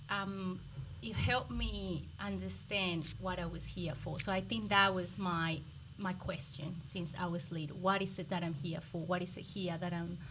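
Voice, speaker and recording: A woman speaks with a Colombian accent against audible room echo. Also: fairly low pitch for a woman, ordinary pitch variation, moderate pace. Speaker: microbiologist. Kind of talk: podcast interview.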